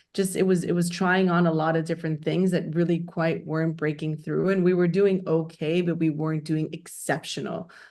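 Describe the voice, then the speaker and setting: A woman speaks at a fairly quick pace with hardly any pauses, her fairly low pitch delivered in a monotone, flat intonation with a dark, mellow tone and very even loudness over a quiet background. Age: 40s. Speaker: company founder and CEO. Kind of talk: interview.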